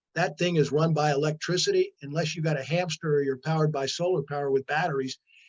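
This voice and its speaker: Very fast and with hardly any pauses, a man talks in a somewhat breathy, fairly high voice with monotone, flat intonation and a dry, close sound with no echo. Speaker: former politician and environmental speaker. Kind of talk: lecture.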